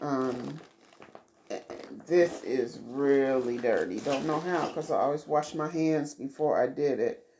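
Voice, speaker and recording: Over noticeable background noise, a woman speaks at a very slow pace with a very deep, low pitch and fairly even intonation. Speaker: crafting vlogger. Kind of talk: casual show-and-tell vlog. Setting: home living room, recorded on tablet.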